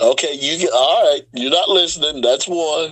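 Noticeable background noise sits under a man whose fairly high voice has lively intonation. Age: 50s. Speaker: professional wrestler. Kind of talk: casual chat.

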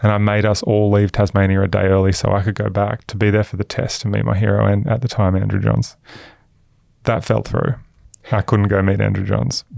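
With an Australian accent, a man speaks at a fairly quick pace and fairly low pitch with fairly even intonation. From Queensland, Australia. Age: 30s. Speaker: venture investor. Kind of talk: podcast interview.

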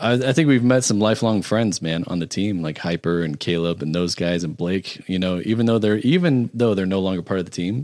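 Delivery moves at a moderate pace with ordinary pitch variation. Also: man. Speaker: video editor. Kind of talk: casual chat. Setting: studio.

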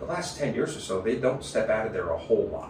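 A man keeps a moderate pace while noticeable background noise goes on around him. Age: 50s. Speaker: race car driver and chassis builder. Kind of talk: casual interview.

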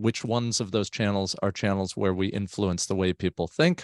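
A normal speaking voice from a man with an American accent, fairly low in pitch and fairly even in intonation, at a fairly quick pace, with a dry, close sound with no echo, in a very clean recording with a silent background. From US, South Florida. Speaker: tech marketer, guest co-host. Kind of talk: casual chat.

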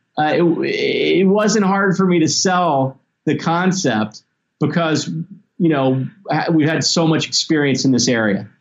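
A man in a plain, everyday voice talks at a fairly slow pace and a fairly high pitch, with very even loudness. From US South (Tennessee and Mississippi). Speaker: toy company executive. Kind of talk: interview.

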